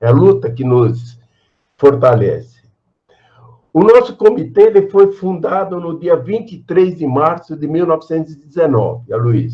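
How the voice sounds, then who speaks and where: At a fairly slow pace, a man with a fairly high pitch speaks with very wide pitch swings and big swings in loudness. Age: 80s+. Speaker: political activist, party co-founder. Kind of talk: speech at a virtual meeting. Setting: video call. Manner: repetitive, halting.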